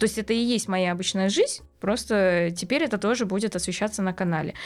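A woman of medium pitch speaks at a very fast pace with ordinary pitch variation. The recording is very clean, with a silent background. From Uzbekistan (ethnic Korean). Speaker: beauty blogger. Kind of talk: casual interview chat.

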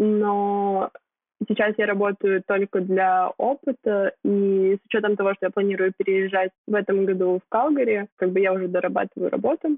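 A woman with a plain, everyday voice and medium pitch talks at a moderate pace with fairly even intonation. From Kyrgyzstan. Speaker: blogger, marketing graduate. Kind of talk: casual interview.

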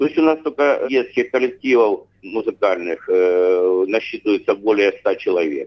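Moderately paced male speech in a dry, close sound with no echo. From Rostov region, southern Russia. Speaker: head of an ethnic cultural association. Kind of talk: interview. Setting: remote line. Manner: halting, with many filler sounds.

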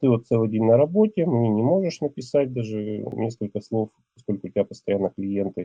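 It's a plain, everyday voice at a moderate pace. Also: man. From Russia, Ural region. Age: 40s. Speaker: man telling his personal story. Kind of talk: personal testimony.

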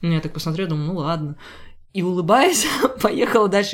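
A woman with a fairly low pitch talks at a very fast pace with ordinary pitch variation. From Rubtsovsk, Altai Krai, Russia. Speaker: museum tour guide and dancer. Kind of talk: interview conversation.

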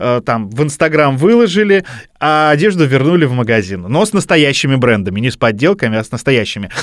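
A man speaks with very wide pitch swings. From Russia, Bryansk. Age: 30s. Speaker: podcast host. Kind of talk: casual chat.

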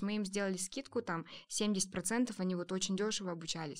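The recording is very clean, with a silent background. A woman with an ordinary speaking voice talks at a moderate pace and medium pitch, with ordinary pitch variation. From Kazakhstan, small district town. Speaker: startup co-founder, education center. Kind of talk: casual chat.

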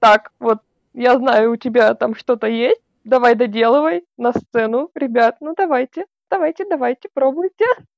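A woman's high voice with lively intonation at a moderate pace, in a dry, close sound with no echo. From Russia, Vologda. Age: 20s. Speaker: cosplayer and festival organizer. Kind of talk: casual interview.

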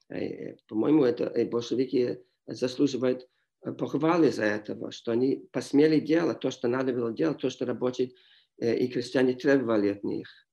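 In an English accent, a man speaks at a moderate pace and a medium pitch. His tone is dark and mellow, his intonation fairly even. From Montreal, Canada. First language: English (speaking Russian). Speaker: history professor. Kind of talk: interview. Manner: halting.

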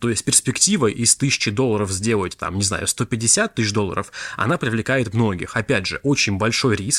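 In a very clean recording with a silent background and a dry, close sound with no echo, a man with an unremarkable speaking voice talks at medium pitch with ordinary pitch variation. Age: 20s. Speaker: podcast host, crypto investor. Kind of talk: solo monologue podcast. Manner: casual, conversational.

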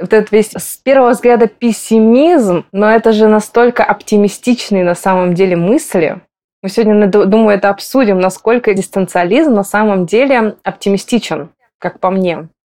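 Her tone dark and mellow, a woman at a medium pitch speaks at a moderate pace with ordinary pitch variation. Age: 20s. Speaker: psychologist. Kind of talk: casual chat.

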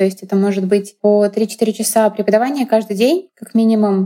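A woman with a dark, mellow tone speaks at a fairly quick pace in a fairly high pitch, her intonation fairly even. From Russia. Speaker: legal scholar. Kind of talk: interview.

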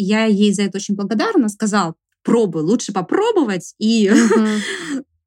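At a moderate pace, a woman with a fairly high pitch and ordinary pitch variation sounds somewhat breathy, recorded with a dry, close sound and no echo. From Sverdlovsk region, Russia (Urals). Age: 30s. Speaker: camera assistant and blogger. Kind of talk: interview.

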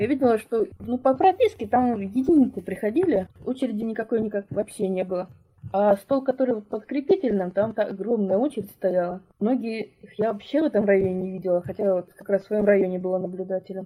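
Speaking at a fairly quick pace, a woman has a fairly high pitch with ordinary variation. Her voice sounds somewhat breathy, with a dark, mellow tone. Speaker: mother, former election observer. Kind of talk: personal testimony interview.

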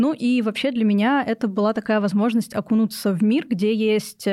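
An ordinary speaking voice, a woman's at a fairly high pitch, moves at a fairly quick pace in a very clean recording with a silent background. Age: 20s. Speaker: psychology student and mental health activist. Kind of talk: personal testimony in interview. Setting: studio.

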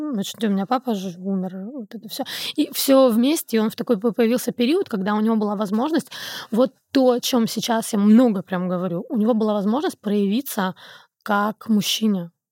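An unremarkable speaking voice at a moderate pace with ordinary pitch variation, in a dry, close sound with no echo. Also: woman, fairly high pitch for a woman. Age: 30s. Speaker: podcast guest. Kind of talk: casual chat.

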